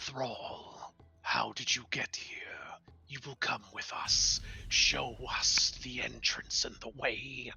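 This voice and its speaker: A man's booming, raspy put-on character voice at a very slow pace. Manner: commanding, menacing.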